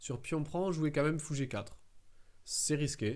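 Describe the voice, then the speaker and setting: A man speaks with a southern French accent at a fairly high pitch. His pace is fairly quick. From southern France. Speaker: chess streamer. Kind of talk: live game commentary. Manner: halting, many fillers and repetitions.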